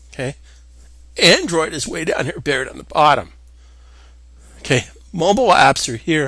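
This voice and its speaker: Using a bright, sharp tone, a man with a fairly high voice speaks at a moderate pace, his loudness swinging widely and his speech broken by long, frequent pauses. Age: 50s. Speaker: software instructor. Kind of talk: tutorial. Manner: casual, halting with repetitions.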